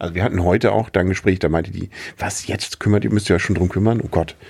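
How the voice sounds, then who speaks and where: A man's very deep, low voice at a very fast pace with fairly even intonation, on a very clean recording with a silent background. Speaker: expectant father, podcast host. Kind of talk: casual chat.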